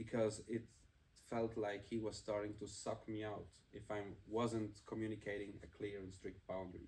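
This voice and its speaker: Speaking with a German accent, a man uses a fairly low, somewhat breathy voice in a flat monotone. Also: moderate pace. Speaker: podcast co-host. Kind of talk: casual chat.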